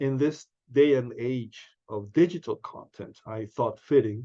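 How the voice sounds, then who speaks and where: At a fairly slow pace, a man speaks in a dark, mellow tone with ordinary pitch variation. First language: Spanish. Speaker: book channel host. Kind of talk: casual monologue. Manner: halting, many fillers.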